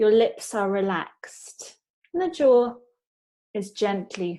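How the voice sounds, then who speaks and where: Using a British accent, a woman with a fairly high pitch and a dark, mellow tone speaks at a very slow pace with lively intonation and long, frequent pauses. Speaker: pronunciation teacher. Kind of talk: pronunciation lesson.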